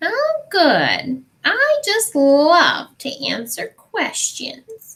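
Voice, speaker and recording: In a put-on character voice, the speaker uses an extremely high pitch with very wide pitch swings at a very slow pace. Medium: read story. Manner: sly, drawn-out, teasing.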